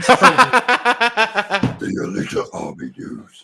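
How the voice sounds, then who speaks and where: This is a put-on character voice with a raspy texture. Its pitch sits fairly high. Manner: imitating a voice changer effect.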